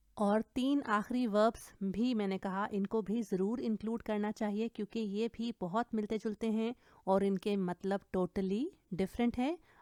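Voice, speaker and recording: In a very clean recording with a silent background, a woman with a German accent speaks at a fairly high pitch in a dark, mellow tone with fairly even intonation. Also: dry, close sound with no echo. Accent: non-native German pronunciation. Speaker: German language teacher. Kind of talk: language lesson tutorial.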